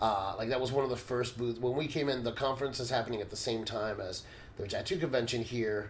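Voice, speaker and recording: Speaking at a very fast pace, a man with a medium-pitched, somewhat breathy voice keeps his intonation fairly even, and audible room echo surrounds him. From United States, Cuban-American family. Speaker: professional body piercer and instructor. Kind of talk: casual podcast conversation. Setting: in-person recording in Brazil.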